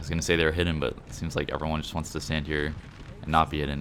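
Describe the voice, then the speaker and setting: Against noticeable background noise, a man with a very deep, low pitch rushes at a very fast pace in monotone, flat intonation. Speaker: gaming commentator. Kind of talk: gameplay commentary. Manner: casual.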